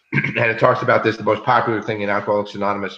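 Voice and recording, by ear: A man speaks at a fairly low pitch in a bright, sharp tone. Room echo can be heard.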